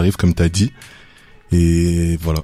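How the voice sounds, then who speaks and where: The man's voice is very deep and low, with a dark, mellow tone. He speaks at a fairly slow pace. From Belgium, Walloon Brabant (Louvain-la-Neuve). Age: 20s. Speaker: rapper. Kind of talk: radio interview.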